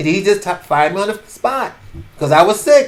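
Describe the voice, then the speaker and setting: A man in a New York accent, fairly quick, with very wide pitch swings. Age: 70s. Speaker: podcaster. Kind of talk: casual storytelling monologue. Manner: halting.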